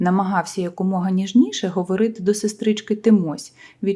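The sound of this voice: Intonation remains fairly even. The delivery is an unforced reading voice.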